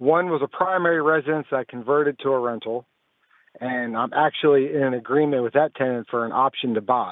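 This man has a normal speaking voice, fairly high in pitch, with fairly even intonation. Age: 40s. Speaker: caller. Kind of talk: radio call-in question. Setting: phone call.

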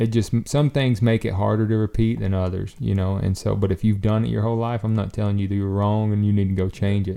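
In a Southern US accent, a man talks at a very fast pace with hardly any pauses. His voice is fairly low and dark, mellow in tone, with fairly even intonation. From US South. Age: 30s. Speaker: professional bowhunter. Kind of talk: casual chat.

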